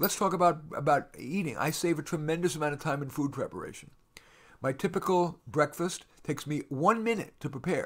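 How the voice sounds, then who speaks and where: Recorded very cleanly against a silent background, a man talks at a fairly quick pace in a fairly high pitch with ordinary pitch variation. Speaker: radio host and career coach. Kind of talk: solo radio talk. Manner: fast; energetic.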